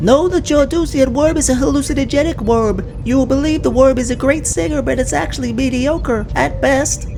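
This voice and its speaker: A high, female-sounding cartoonish character voice at a moderate pace with hardly any pauses, over loud background noise. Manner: deadpan, literal.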